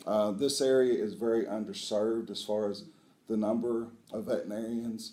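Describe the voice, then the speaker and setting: A man with an Appalachian accent speaks at medium pitch and a moderate pace, in a dark, mellow tone. His intonation is fairly even, and there is audible room echo. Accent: Appalachian Southern US. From US South, southeast Kentucky (Appalachia). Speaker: veterinary school dean. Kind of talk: interview. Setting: on location at a university.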